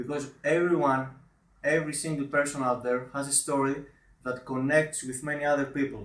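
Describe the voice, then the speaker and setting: With a non-native accent, a man speaks in a monotone, flat intonation. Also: fairly high pitch for a man, fairly quick pace. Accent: foreign accent, self-described as awful. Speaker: online marketer. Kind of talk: video review. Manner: halting.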